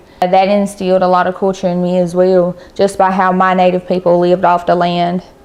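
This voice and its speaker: Noticeable background noise sits behind a woman with an American accent. Her medium-pitched delivery is flat and monotone at a fairly quick pace. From Robeson County, North Carolina (Lumbee). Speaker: interviewee. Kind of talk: interview testimony.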